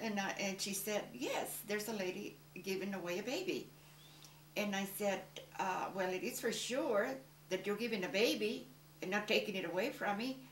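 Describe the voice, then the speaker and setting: Audible room echo and noticeable background noise surround a woman speaking at a medium pitch with ordinary pitch variation. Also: moderate pace. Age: 80s+. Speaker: adoptive mother, former beauty salon owner. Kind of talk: interview testimony.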